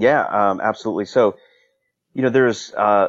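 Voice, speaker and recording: A man speaks at a fairly quick pace in an unremarkable speaking voice with an American accent. The background is quiet. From US, Northern Virginia. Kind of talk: interview.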